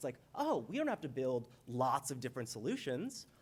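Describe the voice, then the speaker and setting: This man's pitch swings very widely as he speaks at a fairly quick pace. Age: 30s. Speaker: civic tech leader, conference speaker. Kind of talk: conference talk. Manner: casual, joking.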